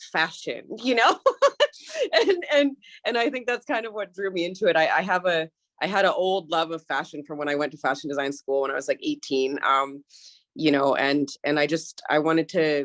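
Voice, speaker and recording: Her voice sits fairly low in pitch as this woman talks at a moderate pace with lively intonation. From northern British Columbia, Canada. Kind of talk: panel discussion. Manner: halting, many fillers.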